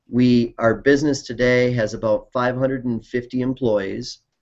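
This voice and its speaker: A man speaks at medium pitch with an Upper Midwest accent. His intonation stays fairly even. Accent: Upper Midwest American. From Wisconsin, US. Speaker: company CEO. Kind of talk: interview. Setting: video call.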